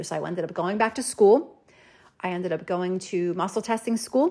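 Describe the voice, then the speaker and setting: A woman talks at a very fast pace. Her pitch sits in the medium range and varies in an ordinary way. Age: 40s. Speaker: natural health practitioner and podcast host. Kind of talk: personal story monologue.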